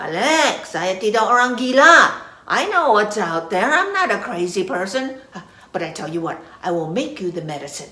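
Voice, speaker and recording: A female-sounding put-on character voice comes at a moderate pace and medium pitch. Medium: read story. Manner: calm, warm.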